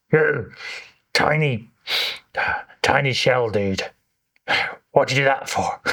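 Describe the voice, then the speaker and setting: Doing a put-on character voice, a man booms in a resonant, medium-pitched tone at a fairly slow pace with long, frequent pauses. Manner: indignant, scolding.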